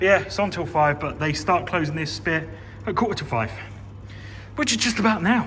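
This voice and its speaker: Amid noticeable background noise, the speaker goes at a fairly quick pace with long, frequent pauses. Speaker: gaming and railway YouTuber. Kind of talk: casual vlog walkthrough. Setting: indoors at a railway museum.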